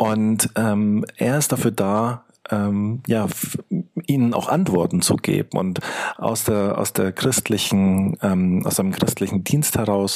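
A man with a fairly low pitch speaks at a very slow pace, keeping his loudness very even and his pitch variation ordinary. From Munich, Germany. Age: 40s. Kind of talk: interview. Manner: halting, many fillers.

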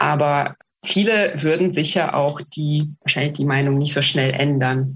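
A woman with a Russian accent speaks in a very deep, low pitch, somewhat breathy. Her loudness stays very even, and her intonation is fairly even too. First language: Russian (speaking German). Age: 30s. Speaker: activist and project manager. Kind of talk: interview. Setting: video call. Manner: hesitant with many fillers.

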